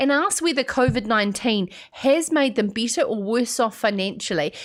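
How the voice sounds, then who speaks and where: A woman with a New Zealand accent, fairly high in pitch, with lively intonation. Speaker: radio host. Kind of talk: live show monologue. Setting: studio.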